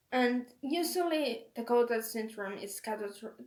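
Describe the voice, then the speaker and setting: In a Finnish accent, the speaker talks at a very slow pace with lively intonation. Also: woman. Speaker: video blogger with schizophrenia. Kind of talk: casual talk to camera. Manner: halting, searching for words.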